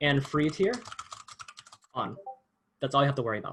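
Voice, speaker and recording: This man's voice is fairly high-pitched for a man, with ordinary pitch variation. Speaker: workshop instructor. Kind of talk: tutorial. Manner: fast.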